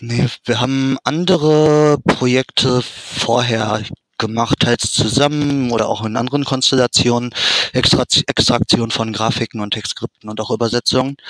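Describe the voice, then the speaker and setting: Heard dry and close with no echo, a man with an ordinary speaking voice talks at a moderate pace and medium pitch with fairly even intonation. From Germany, Dortmund. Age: 30s. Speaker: fan translator and ROM hacker. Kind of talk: interview.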